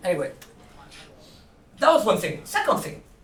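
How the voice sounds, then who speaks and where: There is audible room echo. The speaker is a man. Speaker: conference speaker on animal ethics. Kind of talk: conference talk. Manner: fast.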